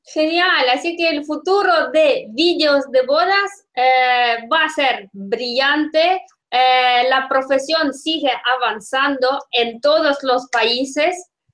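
A woman with a Russian accent, very slow pace, high pitch, ordinary pitch variation and very even loudness. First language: Russian (speaking Italian). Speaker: podcast host. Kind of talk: interview.

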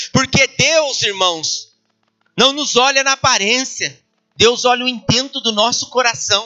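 Speaking at a fairly slow pace with very even loudness, a man uses an extremely high pitch with ordinary pitch variation. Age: 40s. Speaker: pastor. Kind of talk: sermon.

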